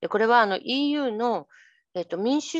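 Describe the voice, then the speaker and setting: Against a quiet background, a woman talks at a moderate pace in a dry sound with no echo. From Japan, lives in Belgium. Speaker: journalist. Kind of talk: presentation, casual explanatory. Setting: online video seminar. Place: home room. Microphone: headset.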